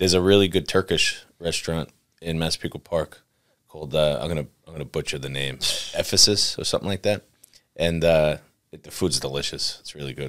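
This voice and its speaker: A man with an American accent speaks at a very deep, low pitch with vocal fry. His loudness swings widely, while his pitch varies in an ordinary way. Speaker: podcast host and real estate agent. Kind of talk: casual chat.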